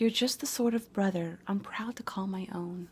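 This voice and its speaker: Whispering and soft-spoken, a woman speaks somewhat breathily at a fairly slow pace. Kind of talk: reading greeting cards aloud. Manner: soft-spoken, whispered.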